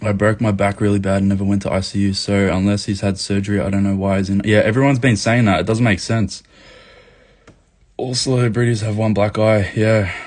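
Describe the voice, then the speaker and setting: An Australian man with a fairly low pitch and fairly even intonation speaks at a very fast pace. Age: 20s. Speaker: activist livestreamer. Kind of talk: live chat reading comments. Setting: livestream. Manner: casual, profane.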